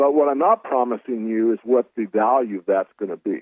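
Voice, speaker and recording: A man talks at a fairly quick pace and medium pitch. He uses a normal speaking voice. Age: 60s. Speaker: precious metals analyst. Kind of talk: radio interview.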